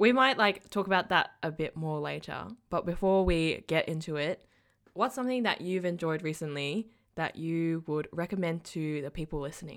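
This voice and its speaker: With an Australian accent, a woman speaks at a fairly low pitch and a moderate pace with ordinary pitch variation, on a very clean recording with a silent background. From Malaysia. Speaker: podcast host. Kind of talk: casual chat.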